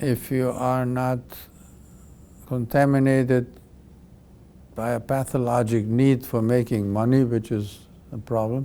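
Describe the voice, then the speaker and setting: Speaking fairly slowly with long, frequent pauses, a man keeps a monotone, flat intonation. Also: medium pitch for a man. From Europe. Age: 80s+. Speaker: pediatric cardiac surgeon. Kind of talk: interview. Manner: halting.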